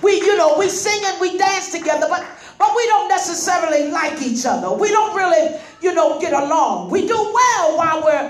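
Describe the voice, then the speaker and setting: A moderate pace with audible room echo. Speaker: guest. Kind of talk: sermon. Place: hall.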